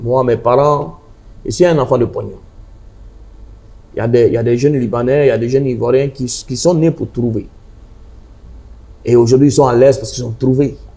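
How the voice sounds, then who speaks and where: Fairly high-pitched for a man, this voice has a dark, mellow tone and a somewhat breathy quality. He speaks at a fairly quick pace. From Côte d'Ivoire, Abidjan (Adjamé), Lebanese family. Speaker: charity volunteer interviewed. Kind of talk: interview conversation. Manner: casual street-style Ivorian French.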